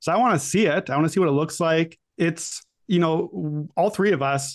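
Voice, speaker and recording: Against a quiet background, a man with an ordinary speaking voice talks at a fairly high pitch with ordinary pitch variation. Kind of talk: casual sports-betting chat. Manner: relaxed, conversational.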